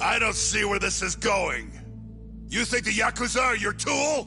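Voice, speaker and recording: Over clear music in the background, a man uses a put-on character voice, raised and projected, at a moderate pace. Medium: fan dub. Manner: gruff, aggressive, profane.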